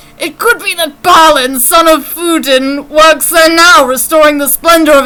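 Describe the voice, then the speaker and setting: An extremely high-pitched put-on character voice from a woman, delivered at an average speed. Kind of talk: archaic, fantasy storytelling. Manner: solemn, grave, wistful.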